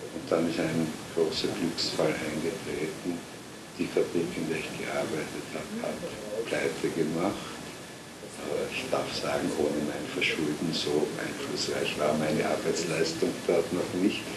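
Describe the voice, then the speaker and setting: A man's very slow speech over loud background noise. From Vienna, Austria. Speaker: writer and Holocaust-era refugee witness. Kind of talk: oral history interview answer. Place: home room.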